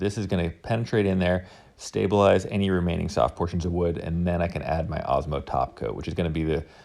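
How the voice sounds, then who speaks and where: Vocal fry at a fairly quick pace. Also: man. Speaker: woodworking YouTuber. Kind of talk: tutorial narration. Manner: fast; casual.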